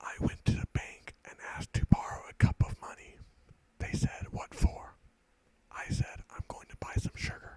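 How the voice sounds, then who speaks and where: A man whispering, with big swings in loudness. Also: moderate pace. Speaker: ASMR creator. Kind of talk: whispered stand-up comedy one-liners. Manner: whispered.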